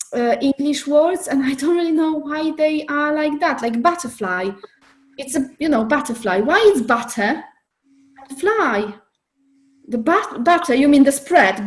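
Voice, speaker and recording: Lively intonation in a woman's high voice. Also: fairly slow pace. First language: not English. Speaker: online group facilitator. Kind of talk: casual chat. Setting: video call.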